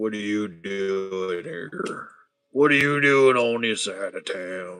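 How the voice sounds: In a put-on character voice with a Southern US accent, a man speaks at a fairly slow pace and a fairly low pitch. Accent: southern American.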